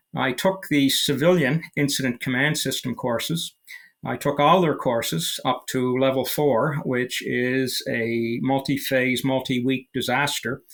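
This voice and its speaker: A man with a Canadian accent, medium in pitch, with ordinary pitch variation. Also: fairly slow pace. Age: 60s. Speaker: military veteran. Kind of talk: interview. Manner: halting, many fillers.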